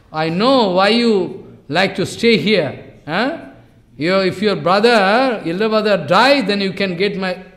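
Someone reads in a natural voice whose pitch shifts in an ordinary way.

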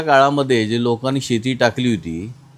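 A man's voice of medium pitch and ordinary pitch variation, with noticeable background noise. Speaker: farm machinery business owner. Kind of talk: interview.

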